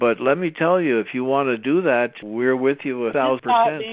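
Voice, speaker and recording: The man has an ordinary speaking voice. Its medium pitch varies in an ordinary way. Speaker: podcast host. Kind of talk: podcast conversation.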